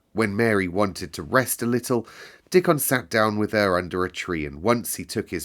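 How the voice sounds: Ordinary pitch variation comes through in a natural reading voice.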